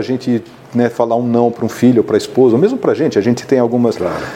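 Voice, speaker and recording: Noticeable background noise sits behind a man talking at medium pitch. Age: 60s. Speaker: business executive and entrepreneur. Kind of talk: interview.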